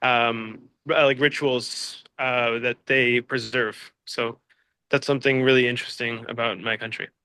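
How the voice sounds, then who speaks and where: A man speaks with an American accent at a medium pitch. His tone is bright and sharp, at a moderate pace. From United States. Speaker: interviewee. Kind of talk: interview. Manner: hesitant, many fillers.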